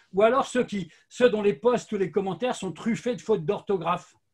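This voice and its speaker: Here a man speaks at high pitch with lively intonation. The background is quiet. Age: 60s. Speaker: sales and social selling expert. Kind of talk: interview.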